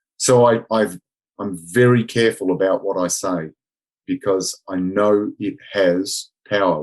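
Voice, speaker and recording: An Australian accent comes from a man with a fairly low pitch and ordinary pitch variation. He goes at a fairly slow pace against a quiet background. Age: 60s. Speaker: martial arts instructor. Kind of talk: podcast interview.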